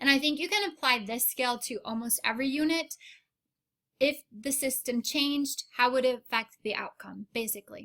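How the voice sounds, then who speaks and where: Her voice raised and projected, a woman speaks at a high pitch with a bright, sharp tone. Her pace is moderate and her pitch varies in an ordinary way. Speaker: high school biology teacher. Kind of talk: recorded review lesson. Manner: casual, unscripted with fillers.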